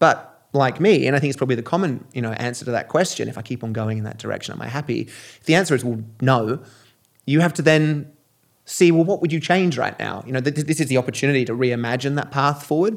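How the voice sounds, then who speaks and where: With an Australian accent, a man speaks very fast at a fairly high pitch on a very clean recording with a silent background. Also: ordinary pitch variation. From Australia and England. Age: 40s. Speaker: keynote speaker and entrepreneur. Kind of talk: casual interview. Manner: halting, many fillers.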